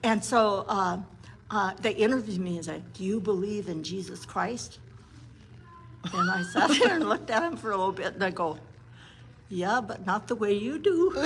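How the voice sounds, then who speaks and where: A woman of medium pitch speaks at a moderate pace with lively intonation and long, frequent pauses, over noticeable background noise. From Montana, Blackfeet (Browning). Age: 70s. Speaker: psychologist. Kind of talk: casual interview chat.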